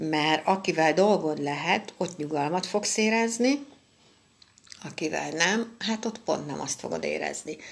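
A woman's very slow voice, fairly low in pitch, with vocal fry and lively intonation. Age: 50s. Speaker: astrologer. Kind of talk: weekly astrology forecast monologue.

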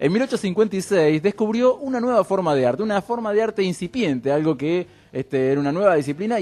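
Fairly quick with hardly any pauses, a man with a high pitch and a dark, mellow tone makes very wide pitch swings. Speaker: radio show co-host. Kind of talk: casual chat.

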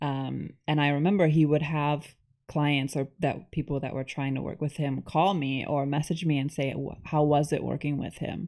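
A woman with a very deep, low pitch and a dark, mellow tone talks in a monotone, flat intonation with hardly any pauses, in a very clean recording with a silent background. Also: moderate pace. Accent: New York State. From New York State, US. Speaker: author. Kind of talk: casual chat.

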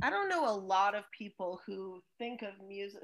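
On a very clean recording with a silent background, an ordinary speaking voice moves at a fairly slow pace with ordinary pitch variation. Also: woman. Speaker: podcast host and music educator. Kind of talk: casual conversation.

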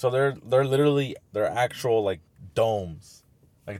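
An ordinary speaking voice from a man at a moderate pace with ordinary pitch variation, in a very clean recording with a silent background. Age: 20s. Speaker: podcast co-host. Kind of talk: casual chat.

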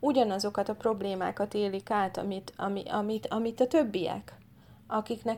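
A woman speaks in an ordinary speaking voice, fairly high in pitch, with fairly even intonation at a moderate pace. The recording is very clean, with a silent background. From Hungary. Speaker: political candidate. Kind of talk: casual interview.

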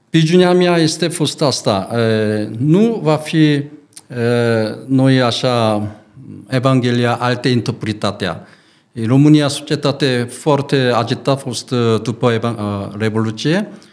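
Speaking in a Korean accent, a man talks at a very slow pace. His medium pitch shows ordinary variation. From South Korea. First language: Korean (speaking Romanian). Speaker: pastor and missionary. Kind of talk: interview. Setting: studio. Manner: halting, broken Romanian with fillers.

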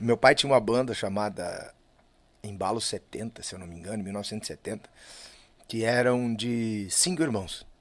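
A man talks fairly slowly in a normal speaking voice at medium pitch, with ordinary pitch variation. His loudness swings widely. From southern Brazil (Lages, Santa Catarina). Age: 40s. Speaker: musician, singer and guitarist. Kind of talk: casual interview chat.

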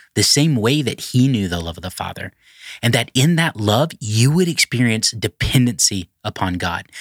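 A man with an ordinary speaking voice talks at a moderate pace, with medium pitch and lively intonation. The recording is very clean with a silent background, and the sound is dry and close with no echo. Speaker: pastor leading devotional. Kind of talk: devotional reading and prayer. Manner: earnest, fervent.

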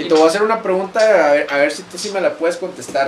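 A man rattles along at a very fast pace amid audible room echo and noticeable background noise. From Monclova, Coahuila, northern Mexico. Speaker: podcast host. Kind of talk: casual chat. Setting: small home studio.

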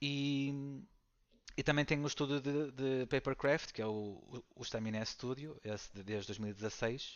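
A man speaks at a very slow pace. His voice is medium in pitch with ordinary variation. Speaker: board game designer and teacher. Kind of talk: casual interview.

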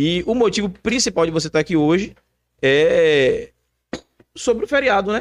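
A man speaks at a high pitch with very wide pitch swings and very even loudness. His pace is moderate, with long, frequent pauses. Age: young. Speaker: podcast co-host. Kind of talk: casual chat.

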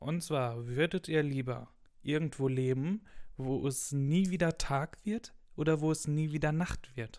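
A man's fairly high voice at a fairly slow pace with ordinary pitch variation, on a very clean recording with a silent background. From Ruhr area, western Germany (Gelsenkirchen). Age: young. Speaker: university student. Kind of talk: casual chat. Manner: loud.

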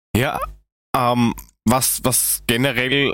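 Very clean recording, silent background, and a man speaking. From Germany. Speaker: football podcast co-host. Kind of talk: casual chat.

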